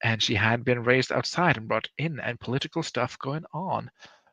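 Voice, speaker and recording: Against a quiet background, a man with a non-native accent and medium pitch speaks at a moderate pace in a bright, sharp tone with vocal fry and ordinary pitch variation, the sound dry and close with no echo. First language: not English. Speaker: livestream host. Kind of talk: casual livestream chat. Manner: casual, rambling.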